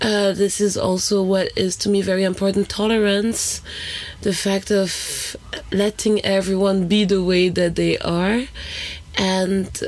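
Against noticeable background noise, a woman speaks fairly slowly at a medium pitch, her intonation monotone and flat and her loudness very even. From Haiti.

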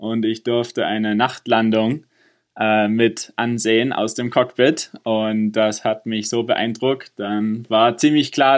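Against a quiet background, a man talks very slowly at a medium pitch. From Innsbruck, Austria, then Germany. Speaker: space engineer. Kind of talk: interview. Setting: remote internet call.

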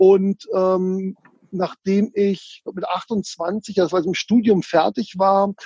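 A man speaks in a high pitch with a dark, mellow tone. The sound is dry and close, with no echo. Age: 40s. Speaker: real estate investor and author. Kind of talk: interview. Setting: video call. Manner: animated.

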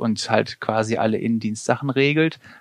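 A man's unremarkable speaking voice at medium pitch, fairly slow and fairly even in intonation, over a quiet background. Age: 40s. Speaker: paramedic and vocational school teacher. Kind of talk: interview.

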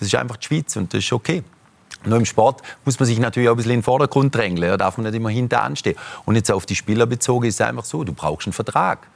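A man with a medium pitch speaks at a very fast pace, his voice showing vocal fry. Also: ordinary pitch variation. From German-Swiss border region. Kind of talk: talk show discussion.

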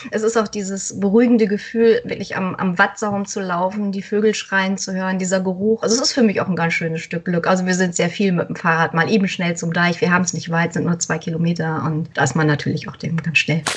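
Over noticeable background noise, a woman with a medium pitch and ordinary pitch variation speaks at a very fast pace with hardly any pauses. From northern Germany, Friesland. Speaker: author. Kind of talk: casual interview.

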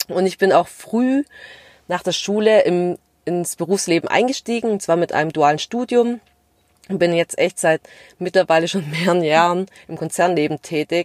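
A woman's fairly low voice at a moderate pace, with ordinary pitch variation, long and frequent pauses, and a dry, close sound with no echo. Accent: slight Swabian. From Stuttgart area, Swabia (Vietnamese family). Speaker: podcast co-host, corporate employee. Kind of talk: casual chat.

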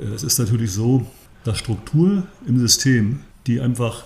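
Somewhat breathy and dark, mellow in tone, a man's medium-pitched voice shows ordinary pitch variation. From northern Germany, Rostock. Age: 60s. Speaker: sports scientist and osteopathic therapist, former athlete. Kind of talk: podcast interview, explanatory.

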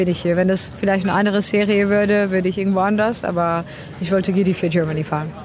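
Very fast, monotone, flat delivery at very even loudness, with noticeable background noise and audible room echo. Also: woman, medium pitch for a woman. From Czech Republic. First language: Czech (speaking German). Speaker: racing driver. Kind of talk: interview. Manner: halting.

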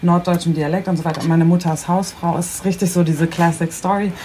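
Very fast, monotone speech with flat intonation over noticeable background noise. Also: woman. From Bremen, northern Germany. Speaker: internet personality. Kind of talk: casual chat.

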